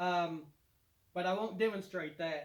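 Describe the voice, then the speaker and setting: A man with a Kentucky accent talks at a moderate pace. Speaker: DIY home renovation YouTuber. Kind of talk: product demonstration tutorial. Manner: casual, with many fillers.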